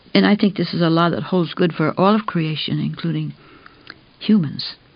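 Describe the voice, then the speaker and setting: A woman's fairly low voice comes through over noticeable background noise. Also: ordinary pitch variation, moderate pace. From Canada. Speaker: environmental activist. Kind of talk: recorded talk.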